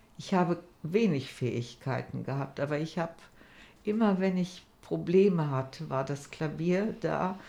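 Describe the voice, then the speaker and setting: Vocal fry marks this woman's fairly low, dark, mellow voice. She speaks at a fairly slow pace. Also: ordinary pitch variation. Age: 70s. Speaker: cancer patient. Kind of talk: interview.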